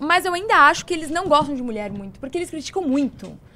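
A woman speaks in a high voice. She raises and projects it. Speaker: political commentator. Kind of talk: casual chat.

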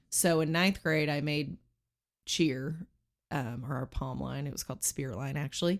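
An American-accented woman's very deep, low voice at a moderate pace, with ordinary pitch variation, on a very clean recording with a silent background. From Texas, Lubbock (until 12), then Arizona. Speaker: NBA dance team manager. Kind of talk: casual interview chat. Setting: studio. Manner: laughs often.

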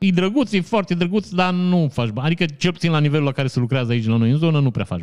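The speaker races along at a very fast pace, animated in tone and lively in intonation. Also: man, fairly high pitch for a man. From Romania, Maramureș (Vișeu). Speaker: podcast host, commentator. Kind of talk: casual news commentary. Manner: animated, joking.

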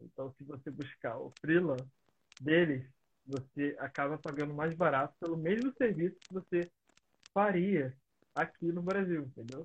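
With a fairly high pitch and ordinary pitch variation, a man speaks at a fairly slow pace with long, frequent pauses and big swings in loudness, in dry, close sound with no echo. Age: 20s. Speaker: podcast host. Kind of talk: casual interview.

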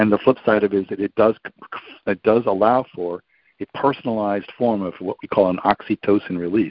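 A man talks at a fairly quick pace with an American accent. His pitch is fairly low and his intonation fairly even. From New York. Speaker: speaker, author and podcast host. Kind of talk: interview conversation. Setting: remote call. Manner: fast.

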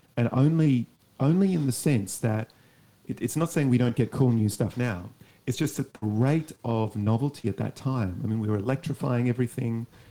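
Dark, mellow tone with an Australian accent and ordinary pitch variation. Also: man, medium pitch for a man, moderate pace. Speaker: academic. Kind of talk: interview.

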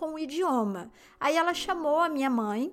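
Lively intonation from a woman at a fairly slow pace. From Brazil, interior of São Paulo state. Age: 40s. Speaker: podcast host. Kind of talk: personal storytelling monologue.

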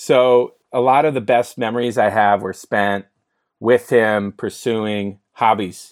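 Here, a man speaks at a very slow pace with an American accent. His pitch is medium and his intonation fairly even. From US West Coast (San Francisco). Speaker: entrepreneur and mental health advocate. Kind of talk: podcast interview.

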